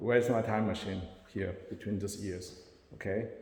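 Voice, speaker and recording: A man's somewhat breathy, dark and mellow voice at a fairly quick pace, with audible room echo. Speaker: self-described spiritual channeler. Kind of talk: personal monologue to camera. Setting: self-recorded on camera. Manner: halting.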